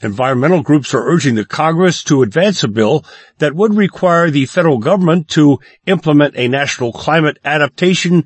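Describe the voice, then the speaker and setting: A fairly high, somewhat breathy male voice with lively intonation, a fairly quick pace and very even loudness. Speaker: radio news anchor. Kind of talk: brisk daily radio newscast, read from script. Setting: studio. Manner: crisp, measured newsreader cadence; neutral, formal delivery.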